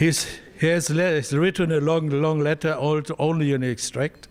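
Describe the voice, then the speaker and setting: Fairly high in pitch, a man speaks with a German accent. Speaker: visiting delegate from the founding town. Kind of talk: formal speech. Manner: halting.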